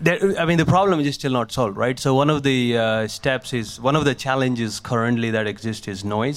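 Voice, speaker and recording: Medium-pitched male speech at a moderate pace, with ordinary pitch variation and noticeable background noise. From India, small village. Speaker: tech startup founder and speech scientist. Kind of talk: live talk with Q&A. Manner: halting, many fillers.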